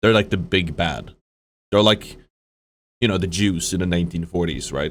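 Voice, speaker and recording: A man with a Swedish accent speaks at a moderate pace. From Sweden. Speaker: streamer reacting to a video. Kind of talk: live stream reaction commentary. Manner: halting, many fillers and restarts.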